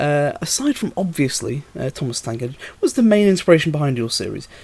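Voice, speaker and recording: A man with a British accent talks at a fairly quick pace. His fairly high pitch moves in very wide swings. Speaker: YouTube model railway series creator. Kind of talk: Q&A video monologue. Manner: hesitant, many fillers.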